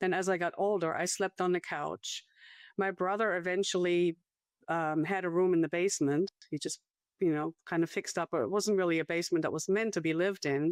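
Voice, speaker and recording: A woman with a German accent talks at a fairly quick pace with fairly even intonation. Her pitch is fairly low, and the sound is dry and close with no echo. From Germany, small town north of Frankfurt. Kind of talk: testimony interview.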